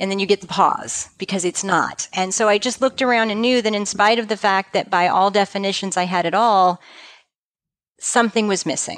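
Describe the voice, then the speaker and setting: At a fairly quick pace, a woman with an ordinary speaking voice talks at a medium pitch with fairly even intonation. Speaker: practice management consultant for financial advisors. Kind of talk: interview.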